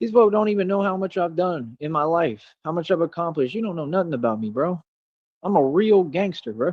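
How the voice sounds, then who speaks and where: Here is a man with a high pitch and an animated tone. He moves at a fairly quick pace with lively intonation. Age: 30s. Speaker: streamer. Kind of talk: casual chat.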